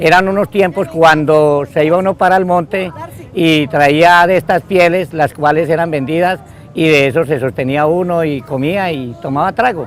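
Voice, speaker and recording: Speech moves at a moderate pace. Background noise is noticeable throughout. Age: 60s. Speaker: settler. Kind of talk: oral history interview.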